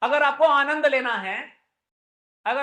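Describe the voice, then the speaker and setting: The man speaks in an animated tone. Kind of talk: religious discourse. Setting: temple with audience. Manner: loud.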